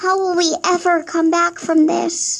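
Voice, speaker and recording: A put-on character voice, squeaky and extremely high in pitch, goes along at a fairly slow pace. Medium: machinima. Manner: eager, fretful.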